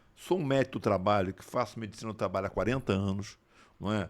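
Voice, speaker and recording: Very fast speech from a man with a fairly low pitch, ordinary pitch variation and big swings in loudness, on a very clean recording with a silent background. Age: 70s. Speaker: physician and former politician. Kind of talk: interview conversation. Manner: animated.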